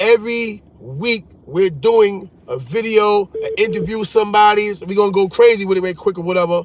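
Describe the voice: This man's voice sits high and moves through ordinary pitch variation. He speaks at a moderate pace.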